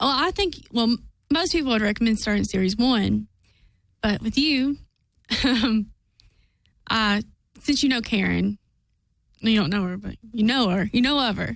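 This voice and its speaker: A woman speaks at a moderate pace with a nervous tone and a fairly high pitch. Her ordinary pitch variation is broken by long, frequent pauses. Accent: Kentucky. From southeast Kentucky. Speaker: fan activist and guest. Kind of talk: casual chat. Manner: nervous, hesitant.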